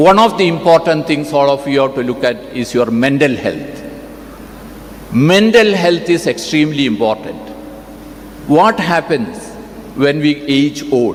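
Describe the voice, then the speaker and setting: Noticeable background noise surrounds a man who talks at a fairly slow pace with lively intonation and long, frequent pauses. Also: fairly high pitch for a man. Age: 70s. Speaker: doctor, convocation speaker. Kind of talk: convocation address.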